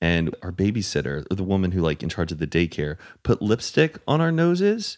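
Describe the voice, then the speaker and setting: A man's animated voice with very wide pitch swings, on a very clean recording over a silent background. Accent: American. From Texas, Dallas suburbs. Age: 20s. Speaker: podcast host. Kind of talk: casual chat.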